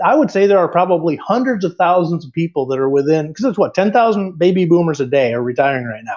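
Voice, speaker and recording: This man has a high pitch, lively intonation and a fairly quick pace. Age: 60s. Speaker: retirement blogger. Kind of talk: podcast interview.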